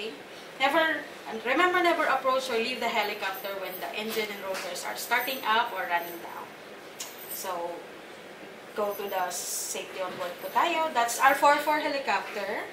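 Noticeable background noise surrounds a woman speaking at a moderate pace. Her loudness swings widely. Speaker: guest. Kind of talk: safety briefing. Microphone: camera far.

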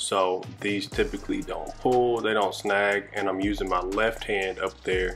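Over faint music in the background, a man speaks at a fairly slow pace. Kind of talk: tutorial. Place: shop.

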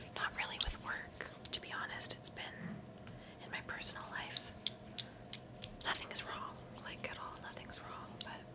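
A woman whispers at a moderate speed, with long pauses that come often. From Canada. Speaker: content creator, recruiter. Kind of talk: ASMR-style whispered ramble to camera, bedtime skincare routine. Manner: soft, chatty, friendly. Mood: calm, slightly reflective. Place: home room. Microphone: studio mic.

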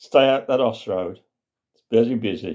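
This man has a medium-pitched voice with a dark, mellow tone. His intonation is lively, and the background is quiet. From West Midlands, England. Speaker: storyteller. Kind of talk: comic storytelling monologue. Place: home room. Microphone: phone near.

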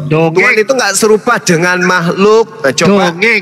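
The voice is raised and projected, with ordinary pitch variation. Noticeable background noise runs underneath. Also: man. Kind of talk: interfaith debate. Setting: online live stream. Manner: animated.

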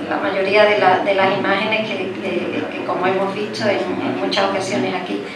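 A woman talks at a moderate pace. Loud background noise and audible room echo surround her voice. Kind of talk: formal hearing speech. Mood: impassioned, earnest. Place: hall. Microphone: podium.

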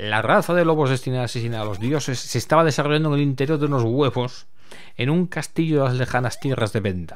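This man's medium-pitched voice races along at a very fast speed. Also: ordinary pitch variation. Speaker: retro gaming YouTuber. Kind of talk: casual commented gameplay walkthrough; epic mythic narration, read aloud in intro story. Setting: home recording with voiceover over game footage. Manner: halting, repeats words, thinking aloud.

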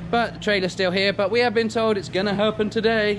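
Noticeable background noise sits under the recording. A man speaks over it at a fairly quick pace. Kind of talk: casual vlog chat. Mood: frustrated about trailer. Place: garage. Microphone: phone near.

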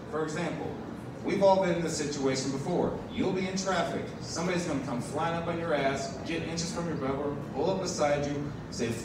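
A man talks at a fairly quick pace with fairly even intonation. There is audible room echo and noticeable background noise. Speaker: stand-up comedian. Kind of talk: stand-up comedy set. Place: bar.

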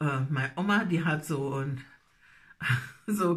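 A woman's bright, sharp voice with lively intonation over a quiet background. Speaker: dialect storyteller. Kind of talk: casual talk to camera. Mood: nostalgic, warm. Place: home room. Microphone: phone near.

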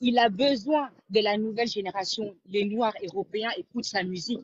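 Somewhat breathy, a woman speaks with ordinary pitch variation in a dry sound with no echo over a quiet background. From Congolese, raised in Europe. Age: young. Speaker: caller. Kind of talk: call-in opinion. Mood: animated, admiring. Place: home room. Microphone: video call.

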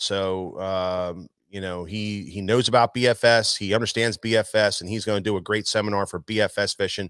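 A man speaks in a normal speaking voice at a fairly low pitch with fairly even intonation. The recording is dry with no echo and has a quiet background. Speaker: show host. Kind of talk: live show announcements. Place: shop. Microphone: studio mic.

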